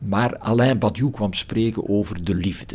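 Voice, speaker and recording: Slowly and deliberately at a very slow pace, a man speaks with a fairly low pitch. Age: old. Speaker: philosophy professor. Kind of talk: reflective interview. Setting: garden house. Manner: hesitant with repetitions.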